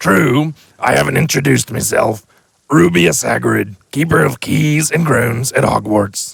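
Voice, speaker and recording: A man speaks at a moderate pace in a medium pitch. He uses a raspy, put-on character voice. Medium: read story. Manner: gruff, folksy, booming when angry.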